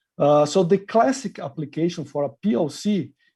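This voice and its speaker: A man's dark, mellow voice with lively intonation against a quiet background. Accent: Brazilian. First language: Portuguese. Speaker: industry marketing manager. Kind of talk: interview. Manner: hesitant with frequent uh fillers.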